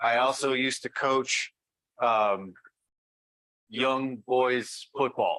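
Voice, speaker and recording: A loud man's very slow, medium-pitched speech in an American accent, bright and sharp in tone with fairly even intonation. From US Midwest, Great Plains. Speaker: journalism professor. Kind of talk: conference talk.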